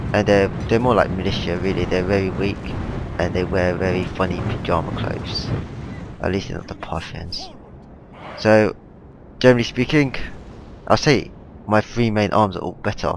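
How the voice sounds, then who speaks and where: Long, frequent pauses break up a man's moderate-paced speech, fairly low in pitch with ordinary pitch variation, over noticeable background noise. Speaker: gaming commentator. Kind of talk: game replay commentary. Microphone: headset microphone, poor definition, popping noises.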